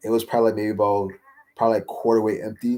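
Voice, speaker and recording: A man's voice with a dark, mellow tone. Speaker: livestreamer. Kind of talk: casual chat. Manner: filler-heavy, repetitive.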